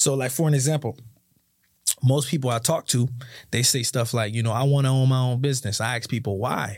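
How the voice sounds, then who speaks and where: Somewhat breathy, a man with an American accent talks fairly quickly at medium pitch with fairly even intonation. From South Florida (Sunrise), Haitian parents. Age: 20s. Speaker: insurance agency owner, entrepreneur. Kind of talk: casual interview chat.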